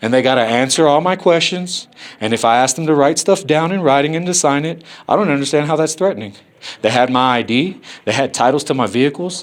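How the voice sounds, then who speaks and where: A man with a fairly high voice talks very fast, his pitch moving in an ordinary way. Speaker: first amendment auditor filming officials. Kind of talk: heated argument with officials. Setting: government office. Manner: loud.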